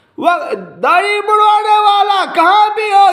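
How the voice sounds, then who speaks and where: A man speaks at an extremely high pitch. Room echo is audible. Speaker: Shia religious speaker. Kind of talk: religious speech to followers. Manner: animated.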